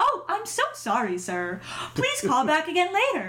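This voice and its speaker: In a squeaky, put-on character voice, a woman speaks at a moderate pace. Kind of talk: polite, professional.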